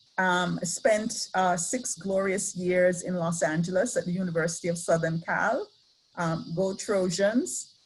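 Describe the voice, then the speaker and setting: A woman with an Antiguan accent, medium in pitch and somewhat breathy, at a fairly slow pace. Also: ordinary pitch variation. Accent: Antiguan Caribbean. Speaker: professor. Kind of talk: lecture. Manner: hesitant, many fillers.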